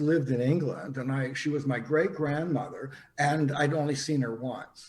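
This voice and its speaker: A man speaks with a Canadian accent at a fairly high pitch. His voice is somewhat breathy, and there is audible room echo. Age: 70s. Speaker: psychic. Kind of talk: interview storytelling. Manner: halting, many fillers.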